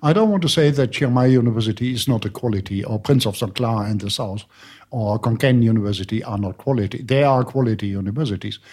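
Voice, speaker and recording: A man with a German accent talks at a very fast pace, with ordinary pitch variation. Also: medium pitch for a man. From Germany. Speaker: university lecturer. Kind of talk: interview.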